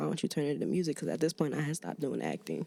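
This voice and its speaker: Here a woman speaks with a slight Maryland accent. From Maryland, US (DC area). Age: 20s. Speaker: musician, rapper and poet. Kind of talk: casual podcast interview. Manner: halting, many fillers.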